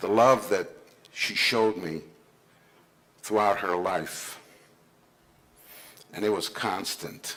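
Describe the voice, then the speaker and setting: A man's very slow, fairly low-pitched speech in an Israeli accent, with audible room echo. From born in Israel, raised in the US from age 9. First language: Hebrew. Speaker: senior care executive speaking at a conference. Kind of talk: conference speech, personal story. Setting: conference stage with audience.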